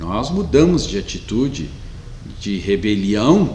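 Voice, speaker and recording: A man speaks very slowly at a fairly low pitch. Noticeable background noise and audible room echo surround him. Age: 60s. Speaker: pastor. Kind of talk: sermon. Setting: online church meeting, streamed.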